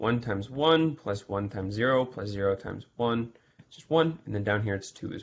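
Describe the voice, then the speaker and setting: A man talks at a fairly quick pace with ordinary pitch variation. His loudness swings widely. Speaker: math tutor. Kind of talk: exam review lecture. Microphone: webcam.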